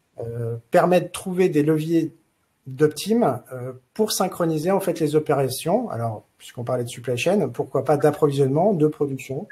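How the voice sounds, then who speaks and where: A man with a fairly high pitch speaks at a moderate pace, his dark, mellow tone a bit breathy and his intonation lively. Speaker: consultant presenting in a webinar. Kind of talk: webinar presentation. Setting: online webinar. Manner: hesitant, many filler sounds.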